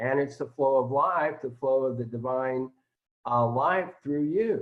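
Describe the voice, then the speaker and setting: A man's fairly high-pitched voice at a fairly slow pace with ordinary pitch variation, a normal speaking voice. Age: 60s. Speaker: spiritual teacher. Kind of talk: casual chat.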